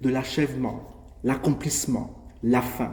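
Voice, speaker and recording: This man talks at a fairly slow pace in a dark, mellow tone that is somewhat breathy. Audible room echo surrounds his voice. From Gabon. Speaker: preacher. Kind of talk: sermon.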